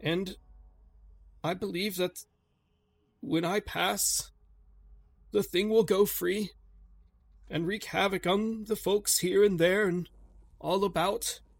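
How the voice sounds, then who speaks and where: A man in a put-on character voice speaks at a high pitch, shaky, with fairly even intonation and a fairly slow pace broken by long, frequent pauses. The recording is very clean, with a silent background. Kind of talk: 1920s formal speech. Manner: weak, shaky, remorseful, confessional.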